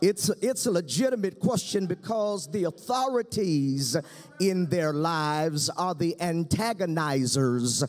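Over music in the background, a man speaks at a very slow pace. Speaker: pastor. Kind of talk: sermon. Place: stage. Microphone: podium.

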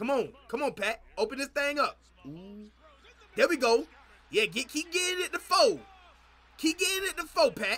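Using a raised, projected voice with an animated, playful tone, a man speaks at an extremely high pitch with very wide pitch swings, a moderate pace, and long, frequent pauses. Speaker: YouTube reaction streamer. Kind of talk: live reaction to game highlights, casual chat with viewers. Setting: streaming, playing game highlights. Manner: animated, loud, hyped, talking back to the screen; playful, teasing, trash-talking. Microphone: headset.

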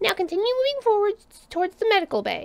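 Putting on a character voice, a woman chatters at a very fast pace, squeaky and extremely high in pitch. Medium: read story. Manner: crisp, authoritative.

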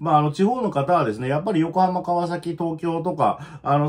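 With a quiet background, a man talks at a moderate pace, his pitch fairly high and its variation ordinary. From Japan. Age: 40s. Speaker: video channel host, trucker and career coach. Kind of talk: casual chat monologue. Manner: rambling, filler-heavy, self-deprecating. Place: home room. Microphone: phone near.

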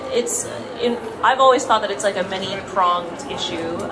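There is noticeable background noise. The speech moves at a moderate pace. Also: woman. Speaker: panel moderator. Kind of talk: panel discussion. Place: hall. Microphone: handheld.

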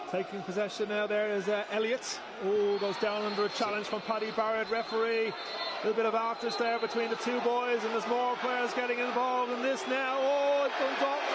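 An extremely high-pitched man at a fairly quick pace, very even in loudness, over noticeable background noise. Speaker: match commentator. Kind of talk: live football commentary, play-by-play. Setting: stadium, match at Tolka Park. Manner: fast, excitable, building to a shout at the goal; flustered, double-checking the goal aloud.

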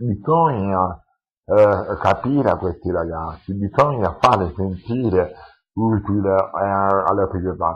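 A man with a fairly low voice speaks very slowly, with ordinary pitch variation and long, frequent pauses. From Sicily, Lentini (Siracusa province). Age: 40s. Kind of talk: interview testimony. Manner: halting, many fillers and repetitions. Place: home room. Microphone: headset.

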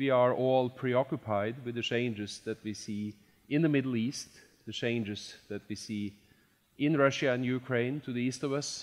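The man talks at a moderate pace, his pitch varying in an ordinary way, with a quiet background. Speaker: event host. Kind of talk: formal introductory speech. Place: hall. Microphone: headset.

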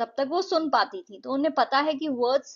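Her intonation lively, a woman speaks. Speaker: English teacher. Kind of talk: lecture.

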